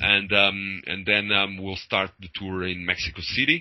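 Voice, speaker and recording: This man has a very deep, low pitch. He speaks at a moderate pace. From Portugal. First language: Portuguese. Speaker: metal band vocalist. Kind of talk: interview. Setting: video call. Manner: hesitant, many fillers.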